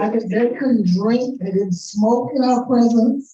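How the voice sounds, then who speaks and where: This is a normal speaking voice with an American accent. Its pitch variation is ordinary. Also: woman. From South Florida (Deerfield Beach). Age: 60s. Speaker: public commenter at city meeting. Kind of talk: public comment testimony. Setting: city commission meeting chamber.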